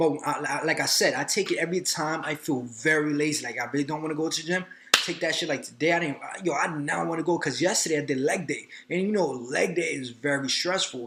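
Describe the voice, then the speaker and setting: Through noticeable background noise, a man speaks at a very fast pace in a fairly high pitch. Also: ordinary pitch variation. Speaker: personal trainer and fitness vlogger. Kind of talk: casual vlog monologue. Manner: animated, filler-heavy.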